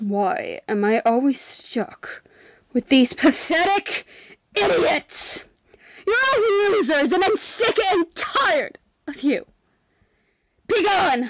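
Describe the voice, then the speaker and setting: In a put-on character voice, a woman speaks at an extremely high pitch with very wide pitch swings. She goes very slowly, with long, frequent pauses. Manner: contemptuous, scornful.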